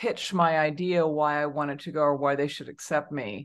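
Speaking in a Californian accent, a woman has a very deep, low voice. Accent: Californian American. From Southern California. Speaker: HR consultant and author. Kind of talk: interview.

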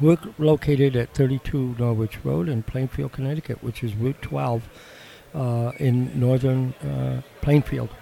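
Over noticeable background noise, a man speaks with an American accent at a fairly slow pace. His pitch is medium, with ordinary variation. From Wisconsin. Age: 60s. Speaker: shed builder. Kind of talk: casual interview chat. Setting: live at home and garden show.

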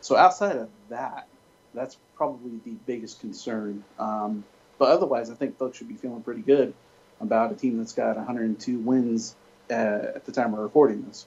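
A man with a plain, everyday voice talks at medium pitch and a moderate pace, with ordinary pitch variation and big swings in loudness. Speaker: Dodgers fan writer. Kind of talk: interview.

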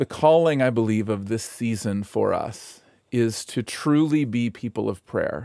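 A man speaks in a dark, mellow tone. The recording is very clean with a silent background and a dry, close sound with no echo. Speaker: pastor. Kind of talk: devotional talk turning into fervent prayer. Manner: earnest, heartfelt, pleading.

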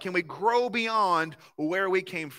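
A man's raised, projected voice, high in pitch and bright and sharp in tone, with a Southern US accent, on a very clean recording with a silent background. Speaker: pastor. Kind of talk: sermon. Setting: church.

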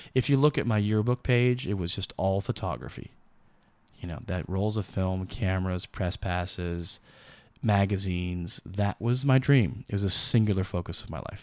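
The recording is very clean with a silent background, and the speech keeps a moderate pace with ordinary pitch variation. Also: man, fairly low pitch for a man. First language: not English. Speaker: photographer and filmmaker. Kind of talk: interview.

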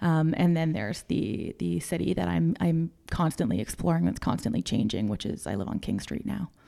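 With a Canadian accent, a woman speaks at a fairly quick pace with hardly any pauses, her very deep, low pitch carrying a dark, mellow tone, vocal fry and very wide pitch swings. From Canada, Toronto. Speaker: housing advocate. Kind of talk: interview. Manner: halting.

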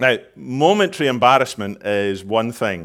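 A man's normal speaking voice at medium pitch, with lively intonation, in a very clean recording with a silent background. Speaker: preacher. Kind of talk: sermon. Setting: church.

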